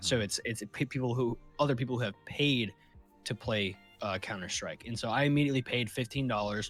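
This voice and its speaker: With music playing behind him, a man talks fairly quickly at a medium pitch and with ordinary pitch variation. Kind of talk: casual podcast conversation.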